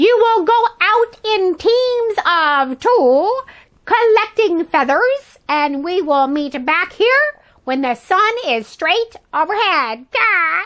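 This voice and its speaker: A woman uses a put-on character voice at an extremely high pitch. She speaks very slowly against a quiet background. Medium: read story. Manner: strict.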